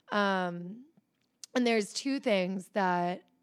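In a very clean recording with a silent background, a woman with an American accent speaks in a normal speaking voice at a medium pitch with ordinary pitch variation. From US, Philadelphia suburbs. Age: 20s. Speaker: entrepreneur. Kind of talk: interview.

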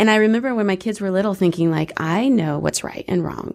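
A woman with a normal speaking voice talks at a fairly quick pace with ordinary pitch variation against a quiet background. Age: 40s. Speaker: radio host. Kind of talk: casual chat. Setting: studio.

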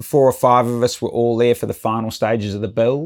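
A man with a New Zealand accent speaks at a medium pitch in a monotone, flat intonation. The recording is very clean, with a silent background. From New Zealand, north of Auckland. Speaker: professional sailor and sailmaking company executive. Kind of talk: casual interview. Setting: on a motorboat. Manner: halting, many false starts.

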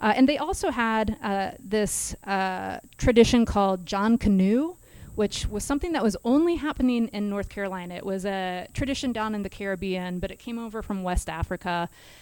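With an American accent and an ordinary speaking voice, a woman talks at a fairly quick pace and fairly high pitch, her intonation lively and her loudness swinging widely, on a very clean recording with a silent background. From Kansas. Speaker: history instructor. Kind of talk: casual chat, explaining history.

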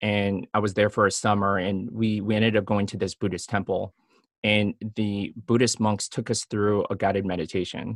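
A man speaks in a plain, everyday voice with an American accent, at a moderate pace and fairly low pitch, his intonation fairly even and the sound dry and close with no echo. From US Midwest (Chicago), Filipino family. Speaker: physician. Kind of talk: interview.

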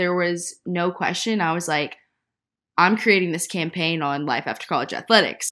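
In a Southern US accent, a woman speaks at a fairly low pitch and a fairly slow pace, with ordinary pitch variation. Her tone is bright and sharp, and the recording is very clean over a silent background. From Nashville, Tennessee. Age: 20s. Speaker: podcast co-host, former college soccer player. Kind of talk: casual chat.

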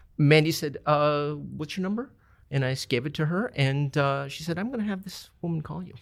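Here a man speaks with a fairly high pitch. His pace is fairly quick, with ordinary pitch variation. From Minneapolis, Minnesota. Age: 50s. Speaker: restaurant owner. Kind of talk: casual interview chat. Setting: studio. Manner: halting, many fillers.

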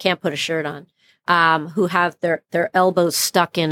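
A woman's very deep, low voice is heard in monotone, flat intonation. The recording is very clean, with a silent background. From Brooklyn, New York. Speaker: plastic surgeon. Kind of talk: interview conversation.

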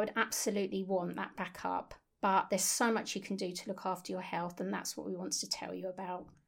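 Over a very clean recording with a silent background, a woman talks at a very fast pace in a medium pitch with vocal fry and hardly any pauses. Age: 50s. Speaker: nutritional therapist, podcast co-host. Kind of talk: casual chat, personal story.

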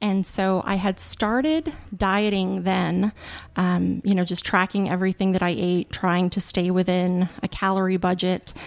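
A woman with an unremarkable speaking voice talks at a fairly slow pace with medium pitch and fairly even intonation. Her loudness is very even, and the recording is very clean with a silent background. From Montana, US. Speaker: lawyer. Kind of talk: interview.

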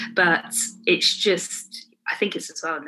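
The speaker is a woman. She talks with a Midlands accent. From England, Warwick. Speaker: nail educator and brand owner. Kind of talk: casual interview chat.

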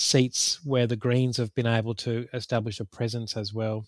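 A man with an Australian accent is recorded with a dry, close sound and no echo. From Queensland, Australia. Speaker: political campaigner. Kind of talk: casual political analysis interview.

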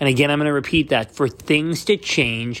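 A man's ordinary speaking voice, fairly high in pitch with ordinary pitch variation and a Canadian accent, on a very clean recording with a silent background. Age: 30s. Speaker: podcast host. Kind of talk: personal monologue.

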